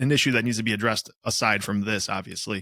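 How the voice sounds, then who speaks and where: A bright, sharp tone comes at a fairly quick pace in a very clean recording with a silent background. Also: man. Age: 30s. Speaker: podcast co-host. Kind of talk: casual chat.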